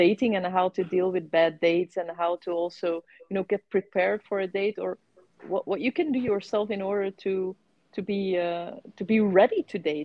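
A woman's plain, everyday voice at a moderate pace, with fairly even intonation. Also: medium pitch for a woman. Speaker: co-host of a dating stories podcast. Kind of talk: casual interview chat.

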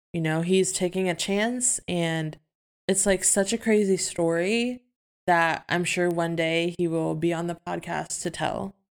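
A woman speaks in a plain, everyday voice, fairly low in pitch, with fairly even intonation at a fairly slow pace. The recording is very clean, with a silent background. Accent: American. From Philippines and US. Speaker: podcast co-host. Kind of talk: casual chat.

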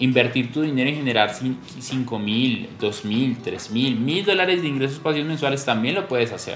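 Audible room echo and noticeable background noise surround speech at a moderate pace with ordinary pitch variation. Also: man, medium pitch for a man, hardly any pauses. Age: 30s. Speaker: podcast host, personal finance educator. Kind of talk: motivational monologue.

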